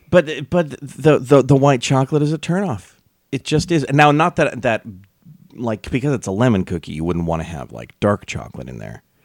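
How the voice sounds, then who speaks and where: A man's fairly quick speech with very wide pitch swings and vocal fry, in dry, close sound with no echo. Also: medium pitch for a man, big swings in loudness, very clean recording, silent background. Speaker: radio host. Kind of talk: casual chat.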